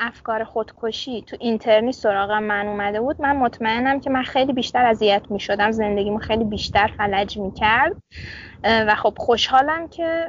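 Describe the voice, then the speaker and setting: A woman's fairly high voice, with ordinary pitch variation at a moderate pace. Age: 20s. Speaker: medical student. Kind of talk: casual interview. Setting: outdoors in dorm courtyard.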